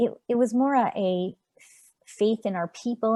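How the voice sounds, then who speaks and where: A woman speaks with a Montreal accent. The sound is dry and close, with no echo. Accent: Canadian English, Montreal. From Canada, Montreal. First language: Yiddish. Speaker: author. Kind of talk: interview. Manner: halting.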